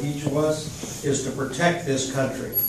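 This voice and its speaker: The man's voice sits fairly high in pitch. There is noticeable background noise and audible room echo. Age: 70s. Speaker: audience member asking a question. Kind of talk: audience question. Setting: veterans hall event with audience.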